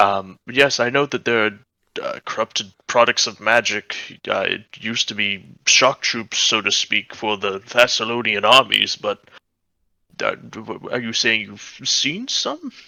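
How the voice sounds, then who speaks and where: A man's put-on character voice at medium pitch, moderate in pace, with fairly even intonation. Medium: actual play. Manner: hesitant, wordy and lecturing.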